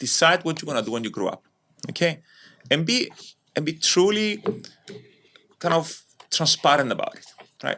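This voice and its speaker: A man's fairly high, bright, sharp voice with a Cypriot Greek accent, lively intonation, an animated tone, vocal fry, big swings in loudness and long, frequent pauses. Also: moderate pace. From Cyprus, Nicosia. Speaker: entrepreneur. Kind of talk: podcast interview.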